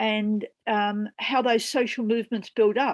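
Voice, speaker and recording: A woman with an Australian accent speaks at a moderate pace in a fairly high pitch against a quiet background. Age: 70s. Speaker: peace activist and former senator. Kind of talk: panel discussion.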